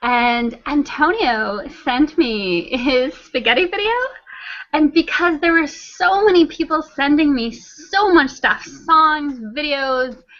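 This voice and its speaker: A woman with a high pitch speaks at a very slow pace. Her intonation is lively, over noticeable background noise. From Canada. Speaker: flat earth video creator and translator. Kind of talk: casual chat.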